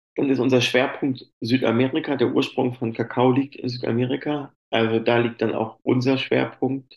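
The delivery is monotone with flat intonation at a moderate pace. There are hardly any pauses. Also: man, medium pitch for a man. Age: 40s. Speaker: chocolate company employee and sommelier. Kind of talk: interview.

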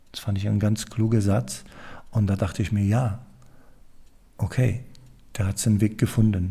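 A man's fairly low, dark, mellow voice with a Polish accent, somewhat breathy, with ordinary pitch variation and long, frequent pauses. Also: moderate pace. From Poland. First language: Polish (speaking German). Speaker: leadership consultant and podcast host. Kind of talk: casual chat. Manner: halting.

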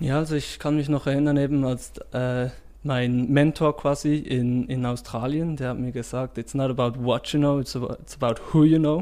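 At a moderate pace, a man speaks in a medium-pitched voice with a dark, mellow tone and fairly even intonation. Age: 20s. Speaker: startup founder. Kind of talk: interview.

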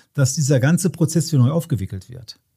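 Over a very clean recording with a silent background, a man talks at a fairly quick pace and fairly high pitch. His tone is dark, mellow and somewhat breathy, with ordinary pitch variation. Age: 60s. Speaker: deacon and emergency chaplain. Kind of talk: casual interview chat. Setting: basement home recording.

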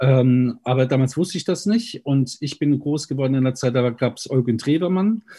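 Against a quiet background, a somewhat breathy voice with a dark, mellow tone moves at a moderate pace with ordinary pitch variation. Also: man. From Germany, Mainz. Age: 50s. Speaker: pastor and party spokesperson. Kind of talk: interview. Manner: preachy, emphatic; hesitant with fillers.

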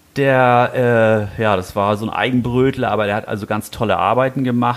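A man talks at a fairly quick pace. Noticeable noise sits in the background. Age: 60s. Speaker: knife maker. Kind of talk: casual chat. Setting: workshop. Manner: halting.

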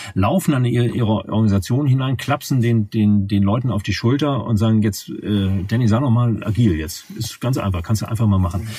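A man speaks at a fairly quick pace, barely pausing, as noticeable background noise carries on. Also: medium pitch for a man, ordinary pitch variation. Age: 50s. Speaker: management consultant. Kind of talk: interview. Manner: halting, frequent word repetitions.

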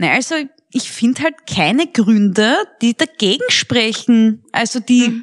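A woman speaks at a fairly slow pace in a fairly high voice, her intonation lively, her tone animated and her loudness very even. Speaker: podcast co-host, comedian. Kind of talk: casual chat. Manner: animated, laughing often.

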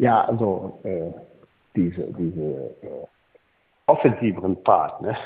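A man speaks with lively intonation and a somewhat breathy voice. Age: 60s. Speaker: former football club technical director. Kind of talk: interview. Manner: halting, many repetitions.

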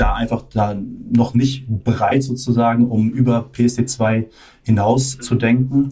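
A man's somewhat breathy voice, medium in pitch, with a dark, mellow tone, monotone, flat intonation and a very slow pace. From Germany. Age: 20s. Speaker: management consultant. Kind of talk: interview.

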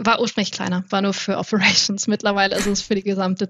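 The woman's voice is pitched at a medium level. She talks at a fairly quick pace. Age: 20s. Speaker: IT innovation manager. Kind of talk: podcast interview. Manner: animated.

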